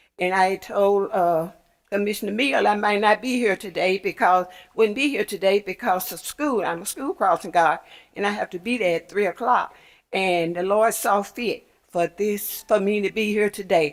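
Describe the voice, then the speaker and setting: On a very clean recording against a silent background, a woman's voice sits at a medium pitch. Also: ordinary pitch variation, moderate pace. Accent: Memphis. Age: 80s+. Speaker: crossing guard making a public request. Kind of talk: public comment at county meeting. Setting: county commission chamber.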